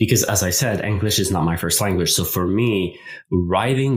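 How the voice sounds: This man has a low-pitched voice. It carries a slightly husky edge.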